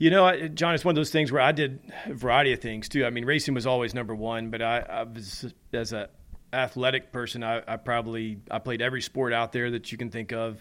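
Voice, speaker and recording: In an American accent, a man talks at a fairly quick pace in a plain, everyday voice, at medium pitch with ordinary pitch variation. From US South, Nashville. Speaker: racing driver. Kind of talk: interview. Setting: at home.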